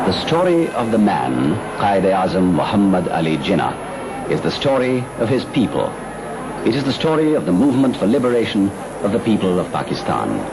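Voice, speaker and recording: Pitch swings very widely while loudness stays very even, at a fairly quick pace. Noticeable background noise runs underneath. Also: man, fairly low pitch for a man. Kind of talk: documentary narration.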